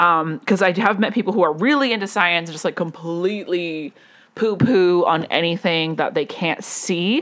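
A woman's plain, everyday voice with an American accent, fairly low in pitch with ordinary variation, at a moderate pace. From US West (Las Vegas). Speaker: podcast host, personal growth coach. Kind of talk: solo monologue, personal storytelling. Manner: casual, many fillers and self-corrections; laughs often.

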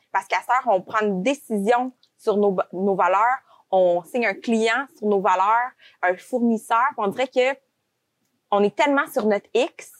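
Her voice is an unremarkable speaking voice: a woman at a fairly high pitch with ordinary pitch variation. She speaks fairly slowly, and the sound is dry and close with no echo. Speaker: podcast host, recruitment agency owner. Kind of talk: podcast interview.

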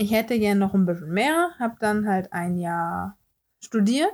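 The speaker has an ordinary speaking voice, talking at a fairly slow pace with ordinary pitch variation on a very clean recording with a silent background. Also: woman. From Hamburg, northern Germany. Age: 20s. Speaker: beautician and podcast host. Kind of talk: casual podcast introduction.

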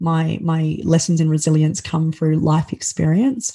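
With an Australian accent, a woman speaks fairly slowly in a fairly low, somewhat breathy voice with a dark, mellow tone. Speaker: keynote speaker and author. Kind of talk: interview conversation. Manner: halting, with many filler words.

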